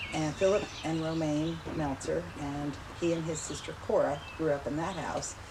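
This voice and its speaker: With an American accent, a woman speaks at a very deep, low pitch amid noticeable background noise and audible room echo. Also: fairly even intonation, moderate pace. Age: 70s. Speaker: family member interviewee. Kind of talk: interview.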